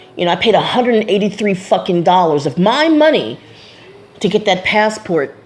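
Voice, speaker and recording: A medium-pitched woman talks fairly quickly, her pitch swinging very widely while her loudness stays very even. Noticeable background noise runs underneath. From USA. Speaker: vlogger. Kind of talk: personal vlog monologue. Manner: casual, many fillers and repetitions.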